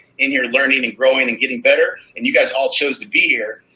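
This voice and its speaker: At a very fast pace, a man speaks with an American accent. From US, rural small town. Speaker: real estate coach. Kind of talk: conference talk.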